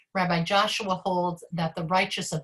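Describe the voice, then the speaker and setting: Here a woman is talking. Her voice is neither high nor low in pitch. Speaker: rabbi. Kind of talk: online class lecture. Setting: video call. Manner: fast.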